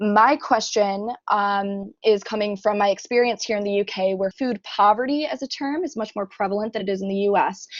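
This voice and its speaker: In an ordinary speaking voice with an American accent, a woman talks at a medium pitch and a fairly quick pace with hardly any pauses. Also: ordinary pitch variation. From United States. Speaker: conference audience member, student. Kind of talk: audience question at online conference.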